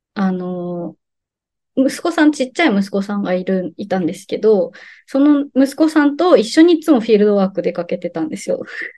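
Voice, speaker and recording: A woman speaks at a moderate pace in a fairly high pitch, her dark, mellow tone marked by very wide pitch swings. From Japan, Saga (Kyushu). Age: 30s. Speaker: sustainability consultant and doctoral student. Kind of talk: casual interview chat.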